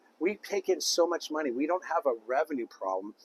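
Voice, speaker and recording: A man talks in an animated tone, with a dry, close sound and no echo. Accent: American. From Southern California, Thousand Oaks. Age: 50s. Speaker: political candidate. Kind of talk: interview. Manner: hesitant.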